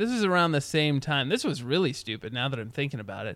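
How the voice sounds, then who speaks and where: A man with an unremarkable speaking voice talks at a fairly quick pace and a fairly high pitch. The recording is very clean, with a silent background. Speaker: podcast host. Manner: rambling, humorous, self-deprecating.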